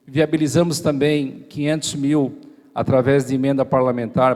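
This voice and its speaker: Speaking at a fairly slow pace, a man has a fairly high pitch, a dark, mellow tone and fairly even intonation. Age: 40s. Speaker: mayoral candidate, state deputy. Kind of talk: campaign speech at church debate. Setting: church event with live audience.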